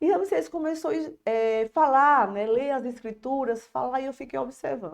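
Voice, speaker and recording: Against a quiet background, a woman talks at a moderate pace in a high voice with very wide pitch swings. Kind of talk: religious testimony.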